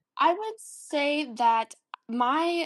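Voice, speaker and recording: A woman with an American accent and lively intonation against a quiet background. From Texas. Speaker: college student. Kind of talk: interview conversation.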